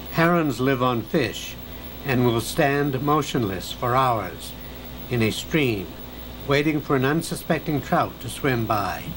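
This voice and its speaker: Noticeable background noise sits behind a man with a calm tone who speaks fairly slowly at a medium pitch with ordinary pitch variation. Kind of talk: nature documentary narration. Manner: calm, measured, hushed and reverent, like a wildlife documentary narrator.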